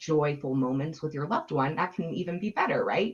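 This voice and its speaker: At a fairly quick pace, a woman with a very deep, low voice speaks with ordinary pitch variation. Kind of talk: webinar presentation. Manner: fast.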